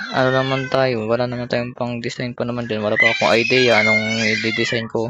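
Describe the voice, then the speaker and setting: The speaker talks at a fairly quick pace. The voice is soft-spoken. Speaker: gaming streamer. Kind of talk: gameplay commentary. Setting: at home. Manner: soft-spoken, quiet; halting, many fillers.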